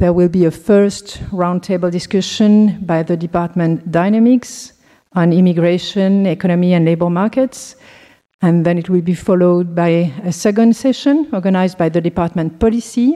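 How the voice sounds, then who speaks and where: In a French accent, a woman speaks at a moderate pace with a fairly low pitch, a dark, mellow tone and ordinary pitch variation. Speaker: anthropology professor. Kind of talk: conference introduction.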